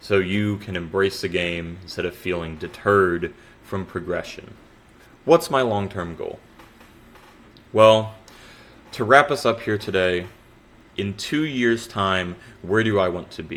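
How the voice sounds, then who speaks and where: A man talks at a fairly slow pace, leaving long, frequent pauses. His voice is fairly low-pitched, with ordinary pitch variation. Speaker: gaming content creator. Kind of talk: scripted monologue. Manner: stumbles on words.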